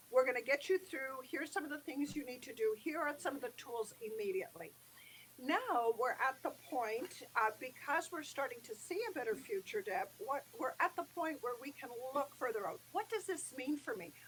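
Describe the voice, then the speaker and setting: Moderate pace from a woman with a high voice and very wide pitch swings. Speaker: business chamber executive. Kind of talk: live interview. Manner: a little quiet; animated, uses hands. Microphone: too quiet.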